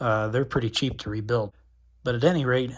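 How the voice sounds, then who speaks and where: Soft-spoken and somewhat breathy, a man talks at a fairly quick pace and medium pitch. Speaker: RC hobbyist youtuber. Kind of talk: repair tutorial. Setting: dorm room. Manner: casual.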